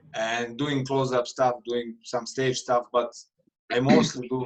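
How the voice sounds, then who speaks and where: A man with a non-native accent, medium pitch, monotone, flat intonation and a fairly slow pace. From Serbia. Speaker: street magician. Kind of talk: casual chat.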